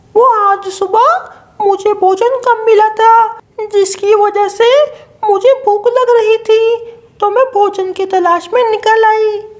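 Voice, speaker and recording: In a cartoonish character voice, a woman speaks fairly slowly at an extremely high pitch, with monotone, flat intonation and very even loudness. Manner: bickering.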